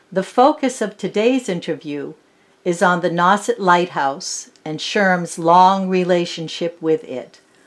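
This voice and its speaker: This is an ordinary speaking voice at a fairly slow pace. The intonation is lively. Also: woman, medium pitch for a woman. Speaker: oral history interviewer. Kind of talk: formal interview introduction.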